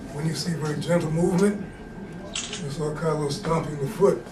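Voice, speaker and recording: With audible room echo and noticeable background noise, a man with a fairly high pitch speaks at a fairly quick pace. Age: 70s. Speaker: martial arts and meditation teacher. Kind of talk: demonstration lesson. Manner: halting, repetitive.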